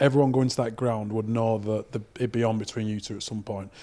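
A man with a Lancashire accent speaks at a fairly quick pace in a dark, mellow tone. The recording is very clean, with a silent background. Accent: Lancashire (Oldham). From northern England, Oldham. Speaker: podcast co-host, former rugby league player. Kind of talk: casual interview chat.

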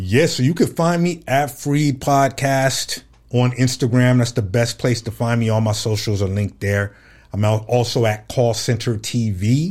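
This man has a normal speaking voice with an American accent, medium pitch and ordinary pitch variation. He talks at a moderate pace in a very clean recording with a silent background. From Fresno, California. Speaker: podcaster and artist. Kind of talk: interview.

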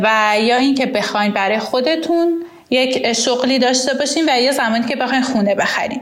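Talking at a very fast pace, a woman with a high pitch and ordinary pitch variation is heard with audible room echo and noticeable background noise. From Iran. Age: 20s. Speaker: accountant and immigrant. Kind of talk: personal testimony and advice monologue.

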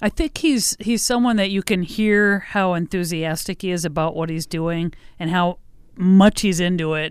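A woman with an American accent has a normal speaking voice at a medium pitch. Her pace is moderate, her pitch variation ordinary, and the recording very clean with a silent background. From Midwest US (Iowa, Indiana; Mankato, Minnesota from age ten). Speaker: radio host. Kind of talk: casual chat. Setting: radio station studio.

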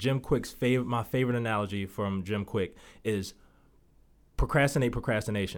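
In an American accent, a man speaks in a normal speaking voice at a moderate pace and medium pitch, with ordinary pitch variation, on a very clean recording with a silent background. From Baltimore, Maryland. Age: 30s. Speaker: podcast host, real estate agent, former basketball player. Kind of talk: motivational solo podcast.

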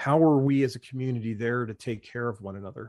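At a moderate pace, a man speaks at a medium pitch with ordinary pitch variation against a quiet background. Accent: American. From New Jersey. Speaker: Navy veteran. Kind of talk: interview.

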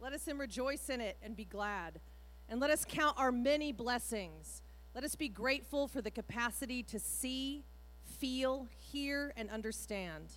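In a put-on character voice, the speaker sounds loud and booming at a moderate pace. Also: woman. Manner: preacherly, sermonizing.

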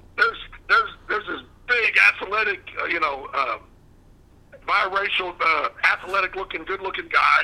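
A man with a Southern US accent speaks at a moderate pace, leaving long, frequent pauses. There's noticeable background noise. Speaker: former wrestling manager. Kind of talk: interview.

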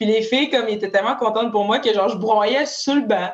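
A woman talks at a fairly quick pace with a fairly high pitch and ordinary pitch variation, noticeable background noise behind her. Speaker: professional hockey player. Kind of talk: casual chat.

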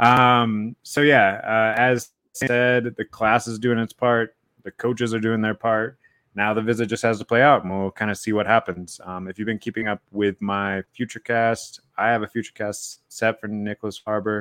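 Speaking in a flat monotone, a man with an American accent keeps a medium pitch. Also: moderate pace. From South Carolina. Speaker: sports podcast host and recruiting writer. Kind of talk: casual chat.

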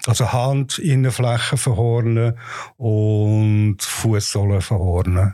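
A man's dark, mellow tone at medium pitch and a very slow pace. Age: 60s. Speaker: patient. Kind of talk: personal testimony. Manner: halting.

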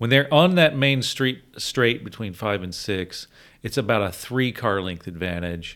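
In an American accent, a man with a plain, everyday voice speaks at a fairly slow pace, medium in pitch with lively intonation, on a very clean recording with a silent background. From US South (Virginia and Georgia). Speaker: car podcast host. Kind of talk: casual chat.

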